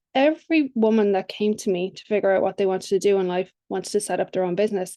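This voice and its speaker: Against a quiet background, a woman with an Irish accent and a dark, mellow tone talks at a very fast pace, with medium pitch and ordinary pitch variation. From Ireland. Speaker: business coach. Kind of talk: podcast interview.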